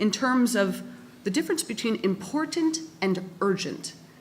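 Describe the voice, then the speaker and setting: Against noticeable background noise, a woman with a Canadian accent speaks at a moderate pace in a fairly high voice with very wide pitch swings. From Canada. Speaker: academic respondent at a conference. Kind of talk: panel debate response.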